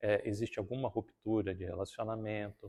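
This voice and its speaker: Over a quiet background, a man with a countryside Brazilian accent speaks at a fairly quick pace with fairly low pitch and fairly even intonation. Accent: countryside Brazilian accent, strong R. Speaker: spiritist lecturer. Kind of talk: talk at a spiritist centre.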